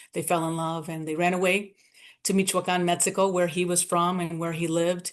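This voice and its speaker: Against a quiet background, a woman talks at a fairly quick pace in a fairly low pitch, with monotone, flat intonation. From Southwest Detroit, US Midwest. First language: Spanish. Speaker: nonprofit founder. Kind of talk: interview, personal life story. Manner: conversational, frequent fillers.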